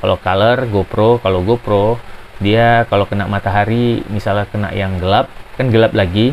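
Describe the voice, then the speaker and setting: Here a man talks at a moderate pace with fairly low pitch. His intonation stays fairly even. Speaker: tech reviewer. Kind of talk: product tutorial. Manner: casual, hesitant with fillers.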